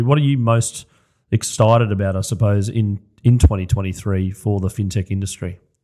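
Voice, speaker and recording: A man with an Australian accent speaks in a dark, mellow tone at a fairly low pitch, his intonation fairly even, in a very clean recording with a silent background. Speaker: podcast host. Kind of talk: podcast interview.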